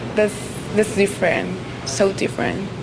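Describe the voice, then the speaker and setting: A woman speaks at medium pitch with music in the background and audible room echo. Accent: Spanish. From Colombia. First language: Spanish. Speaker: college student. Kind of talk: street interview. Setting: outdoors. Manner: halting.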